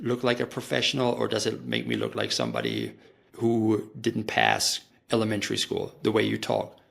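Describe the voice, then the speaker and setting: The speaker talks at a moderate pace with a slight German accent. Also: man. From Germany. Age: 40s. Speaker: marketing professional. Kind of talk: podcast interview.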